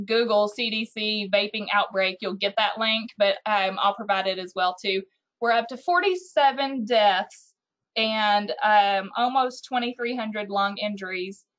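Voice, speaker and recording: At a fairly slow pace, a woman with an unremarkable speaking voice talks in a fairly high pitch with ordinary pitch variation. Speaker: youth prevention program coordinator. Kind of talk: virtual meeting presentation. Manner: frequent fillers, um.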